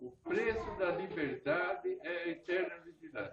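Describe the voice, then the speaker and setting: A man's pitch swings very widely. Noticeable background noise is present. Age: 80s+. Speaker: party supporter at political meeting. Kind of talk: short speech at political meeting.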